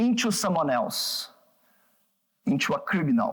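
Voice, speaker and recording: This man speaks with a Brazilian accent at a high pitch. His pace is fairly slow. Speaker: psychoanalyst and researcher. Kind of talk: public talk. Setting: gallery talk with audience. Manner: halting.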